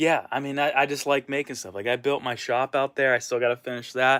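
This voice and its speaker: This is a man with a plain, everyday voice. He talks at a moderate pace. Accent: American. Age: 30s. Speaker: vlogger and punk cover musician. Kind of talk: casual vlog monologue. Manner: casual, lots of filler words.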